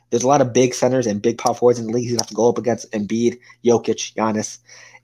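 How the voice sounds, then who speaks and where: The voice has a dark, mellow tone and moves at a very fast pace. The recording is very clean, with a silent background. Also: man. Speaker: co-host, sports fan. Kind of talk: casual sports debate.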